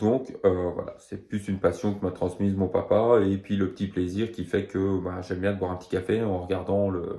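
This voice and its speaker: The voice has a dark, mellow tone and monotone, flat intonation, moving at a fairly slow pace. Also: man. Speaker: horse racing tipster. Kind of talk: betting tips video; casual personal story. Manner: hesitant, many fillers.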